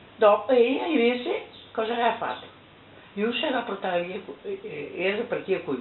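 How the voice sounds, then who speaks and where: A speaker talks in a Venetian accent with audible room echo. Noticeable background noise is present. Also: woman. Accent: Venetian dialect of Treviso. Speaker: oral history witness. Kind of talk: oral history interview. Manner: halting.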